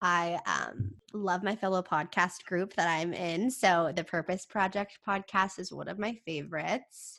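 A woman speaks with an American accent at a fairly slow pace. Her intonation is fairly even, and the background is quiet. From California, small town. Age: 20s. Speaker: podcaster and university student. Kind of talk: casual interview chat.

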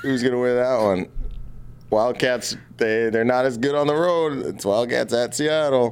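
A man speaks in a normal speaking voice at medium pitch. His pace is moderate and his pitch varies in an ordinary way. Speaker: podcast host. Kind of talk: casual banter podcast chat. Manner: joking, irreverent.

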